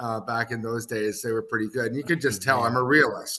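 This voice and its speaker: The speaker is a man. He talks with an Ontario accent. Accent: Canadian (Ontario). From Canada, Kitchener, Ontario. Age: 60s. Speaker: hockey executive and former coach. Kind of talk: podcast interview.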